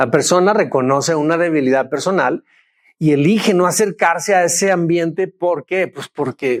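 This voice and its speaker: High-pitched for a man, he speaks at a moderate pace with ordinary pitch variation, in a dry, close sound with no echo. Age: 60s. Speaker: pastor. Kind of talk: sermon.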